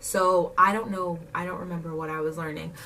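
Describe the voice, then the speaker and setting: Fairly low in pitch, a woman's voice comes through over clearly audible background noise. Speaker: vlogger. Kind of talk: casual chat. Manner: animated.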